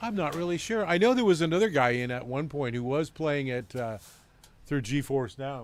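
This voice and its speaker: With lively intonation, a normal speaking voice keeps a moderate pace. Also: man, fairly high pitch for a man. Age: 50s. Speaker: gaming streamer. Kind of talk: live gameplay commentary. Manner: casual, relaxed with frequent fillers.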